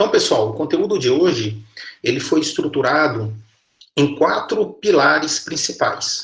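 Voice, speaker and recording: A man with a strong Minas Gerais accent, fairly high in pitch, at a fairly slow pace with lively intonation and very even loudness. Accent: strong mineiro Brazilian Portuguese. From Minas Gerais, Brazil (Patos de Minas). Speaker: university professor. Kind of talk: lecture.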